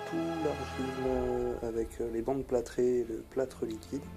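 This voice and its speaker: A man talks at a fairly slow pace while music runs in the background. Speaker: cosplay prop maker. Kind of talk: casual tutorial narration. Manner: hesitant, many filler words.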